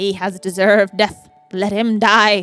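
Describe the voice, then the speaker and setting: Faint music sits behind a female-sounding, put-on character voice at a medium pitch, delivered at a moderate pace in a monotone, flat manner. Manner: indignant, commanding.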